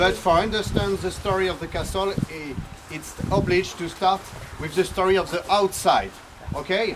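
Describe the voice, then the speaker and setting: The voice has a French accent and monotone, flat intonation at a moderate pace. Noticeable background noise sits behind it. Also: man, high pitch for a man. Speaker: chateau owner giving a tour. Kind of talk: guided tour talk.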